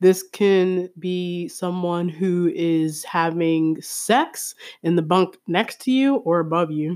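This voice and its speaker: A woman's voice at a fairly low pitch. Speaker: podcast host. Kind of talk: casual monologue. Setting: home. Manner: animated.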